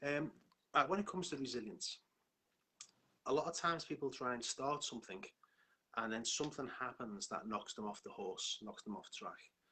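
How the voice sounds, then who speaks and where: With lively intonation, a man in a fairly high voice talks at a fairly quick pace, broken by long, frequent pauses. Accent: Liverpool. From northern England, Liverpool. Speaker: hypnotherapist and life coach. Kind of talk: live stream talk. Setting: online live stream.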